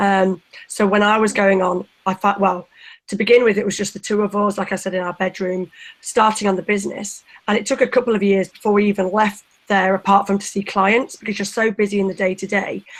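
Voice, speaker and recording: Monotone, flat intonation carries speech delivered at a fairly quick pace. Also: woman, medium pitch for a woman. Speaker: business founder. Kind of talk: panel interview.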